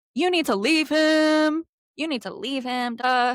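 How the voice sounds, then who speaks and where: In a loud, put-on character voice with ordinary pitch variation, the speaker goes at a fairly slow pace. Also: woman, high pitch for a woman. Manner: loud, emphatic.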